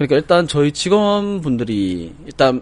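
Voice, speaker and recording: Against noticeable background noise, a man's voice makes very wide pitch swings. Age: 30s. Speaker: tax accountant. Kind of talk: casual chat.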